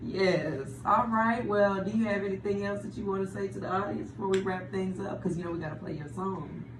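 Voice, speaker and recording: A woman talks with hardly any pauses and ordinary pitch variation amid noticeable background noise and audible room echo. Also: medium pitch for a woman, fairly quick pace. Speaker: radio host. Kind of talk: casual interview.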